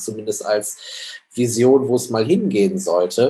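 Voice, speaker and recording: With a plain, everyday voice, a man speaks at a medium pitch and ordinary pitch variation. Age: 30s. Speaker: social startup co-founder. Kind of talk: interview.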